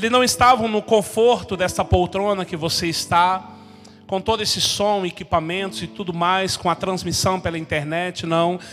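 A man with a high pitch talks at a moderate pace, varying his pitch in an ordinary way, as noticeable background noise carries on. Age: 40s. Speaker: pastor. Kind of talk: sermon. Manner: animated.

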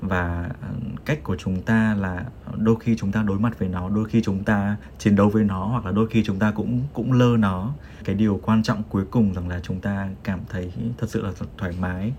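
Intonation is fairly even and the pace is moderate. Background noise is noticeable. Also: man, fairly low pitch for a man. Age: 20s. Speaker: podcast host, office worker. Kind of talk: casual chat.

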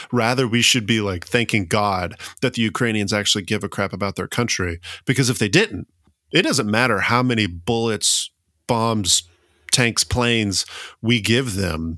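A man of medium pitch speaks in a Southern US accent at a moderate pace. His tone is bright and sharp, with ordinary pitch variation in a dry, close sound with no echo. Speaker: history podcast co-host. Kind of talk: casual chat. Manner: animated.

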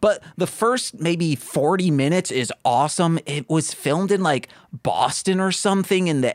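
A man talks in a plain, everyday voice with ordinary pitch variation. His pace is fairly slow. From Michigan. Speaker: podcast co-host. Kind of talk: casual chat.

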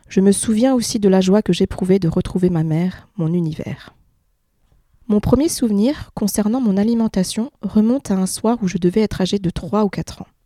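In a dark, mellow tone, a woman speaks at a medium pitch with ordinary pitch variation. Her pace is moderate, and the sound is dry and close with no echo. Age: 30s. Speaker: patient sharing her weight story. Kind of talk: testimony.

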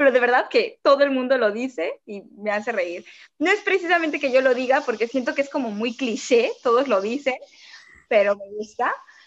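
High in pitch, a woman's voice rises and falls in a lively way at a moderate pace. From Mexico City. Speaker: content creator and student. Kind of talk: interview.

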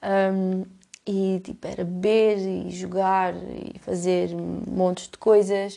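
Speaking at a very slow pace with a European Portuguese accent, a woman shows big swings in loudness. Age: 20s. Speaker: podcaster. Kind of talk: casual monologue. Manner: halting.

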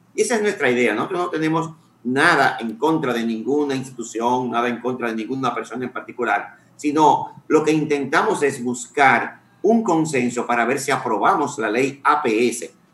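A man's medium-pitched voice with ordinary pitch variation at a moderate pace, over noticeable background noise. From Santiago, Dominican Republic. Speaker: water sector expert. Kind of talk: radio interview.

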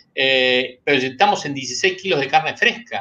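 Intonation rises and falls lively as a man talks. His voice is raised and projected. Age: 60s. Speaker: animal science engineer, pork industry association leader. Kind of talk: interview.

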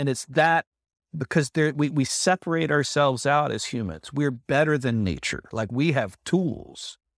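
In an American accent and a normal speaking voice, a man with fairly high pitch talks at a moderate pace with lively intonation, the sound dry and close with no echo. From United States. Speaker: creative community member. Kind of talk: casual chat.

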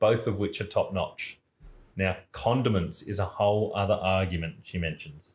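A man keeps a moderate pace, the background quiet behind him. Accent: Australian. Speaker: podcast co-host. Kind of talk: casual chat.

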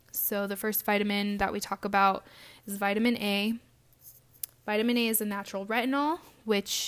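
A plain, everyday voice goes at a fairly quick pace with fairly even intonation, in a very clean recording with a silent background. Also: woman. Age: 20s. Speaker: podcast host and esthetician. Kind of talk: solo podcast monologue.

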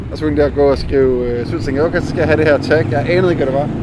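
Noticeable background noise fills the clip. A man talks over it very fast. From Denmark, Jutland (small town). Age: 30s. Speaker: visual artist and graffiti painter. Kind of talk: casual interview.

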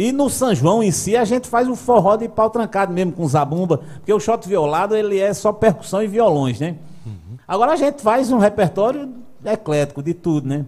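The man speaks with a Paraíba accent and a high pitch. His pace is moderate and his intonation lively. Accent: Northeastern Brazilian (Paraíba). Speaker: singer-songwriter. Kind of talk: casual chat, live-streamed podcast interview.

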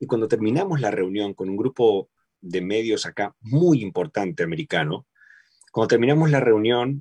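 A man's medium-pitched voice with lively intonation at a moderate pace, in a dry, close sound with no echo. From Argentina. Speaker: voice-over artist and dubbing actor. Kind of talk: casual chat. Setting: home studio, remote call.

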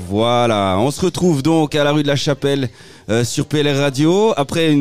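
In a normal speaking voice, a man talks at a fairly slow pace with lively intonation, on a very clean recording with a silent background. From Switzerland, Valais (Saint-Maurice). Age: 30s. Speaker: local radio host and election candidate. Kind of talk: casual radio chat. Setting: outdoor street studio.

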